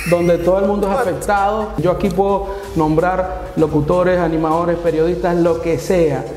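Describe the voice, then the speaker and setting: The voice moves at a moderate pace. There is audible room echo and light background noise. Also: man, high pitch for a man. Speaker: guest or host on talk show. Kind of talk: casual interview chat. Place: studio.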